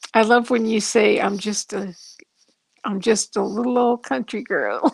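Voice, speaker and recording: In a dry, close recording with no echo, a woman with an American accent speaks fairly slowly at a fairly high pitch, with vocal fry. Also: ordinary pitch variation. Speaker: channel viewer and chat helper. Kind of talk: casual chat.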